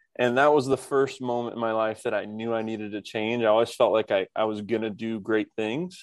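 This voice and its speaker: With an American accent, a man speaks at medium pitch in an ordinary speaking voice against a quiet background. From Indiana, US Midwest. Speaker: tech entrepreneur and Air Force veteran. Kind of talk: podcast interview.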